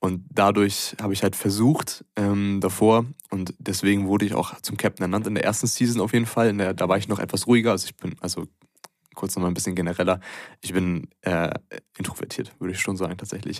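This is an unremarkable speaking voice with fairly even intonation. It moves at a fairly quick pace. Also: man, fairly low pitch for a man. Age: 20s. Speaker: student and American football player. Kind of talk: casual chat. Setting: in person, sitting across from the host.

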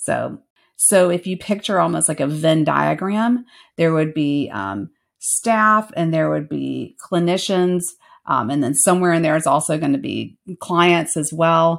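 A woman with an American accent, a normal speaking voice, fairly low pitch, lively intonation and a fairly slow pace. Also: very clean recording, silent background. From US South. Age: 40s. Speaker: counselor and professor. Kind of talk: casual interview conversation.

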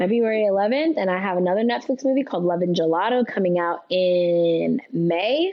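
A woman with an American accent and a normal speaking voice talks at a moderate pace in a medium pitch, her intonation lively, her loudness very even and her pauses hardly there. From California, Bakersfield. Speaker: actress. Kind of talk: casual chat.

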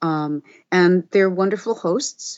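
With an American accent, a woman talks at a moderate pace. Her pitch sits in the medium range and varies in an ordinary way. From New Jersey Shore. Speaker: audiobook narrator and acting professor. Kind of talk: casual interview chat.

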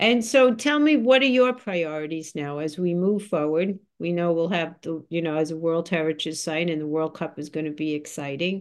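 Against a quiet background, a woman with a normal speaking voice and a fairly low pitch talks at a moderate pace with lively intonation and hardly any pauses. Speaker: university president, podcast host. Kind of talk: interview.

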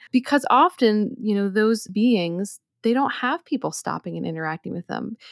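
A woman speaks with an American accent at a moderate pace, in a normal speaking voice of medium pitch and lively intonation. The sound is dry and close, with no echo. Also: very clean recording, silent background. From US Northeast, outside Philadelphia. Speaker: herbalist and author. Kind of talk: interview.

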